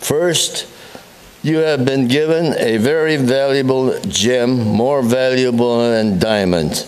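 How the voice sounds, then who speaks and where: A man speaks at medium pitch in an American accent. The recording carries audible room echo and noticeable background noise. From USA. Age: 90s. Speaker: war veteran. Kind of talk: public speech. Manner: halting.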